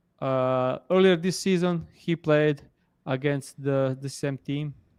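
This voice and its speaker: A man with a non-native accent speaks very slowly. His voice is fairly high, with fairly even intonation. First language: not English. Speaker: sports betting analyst. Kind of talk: casual chat. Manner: halting.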